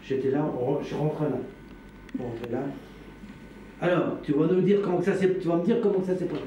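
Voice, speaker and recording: Fairly quick speech with ordinary pitch variation, audible room echo and noticeable background noise. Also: man. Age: 60s. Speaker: witness recounting past events. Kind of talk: testimony. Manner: halting.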